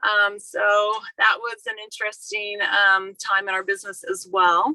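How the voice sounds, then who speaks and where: Her tone is bright and sharp. The woman speaks at a fairly slow pace with monotone, flat intonation. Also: medium pitch for a woman. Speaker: military spouse entrepreneur. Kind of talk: panel presentation. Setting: video call.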